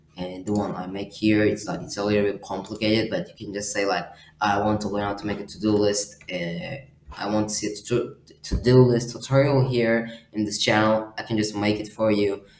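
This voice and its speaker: A man's fairly low pitch and fairly even intonation at a fairly quick pace, over noticeable background noise. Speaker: software tutorial youtuber. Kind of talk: tutorial. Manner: fast; halting, many fillers.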